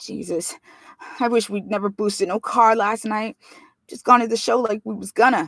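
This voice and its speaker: A female-sounding, put-on character voice sounds whiny, with a fairly high pitch and a moderate pace. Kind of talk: slangy. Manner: whining.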